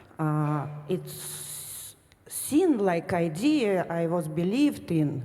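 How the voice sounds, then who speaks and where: A woman with a non-native accent speaks very slowly, with audible room echo. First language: not English. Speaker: retreat participant. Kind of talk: question to a teacher. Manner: halting, many fillers.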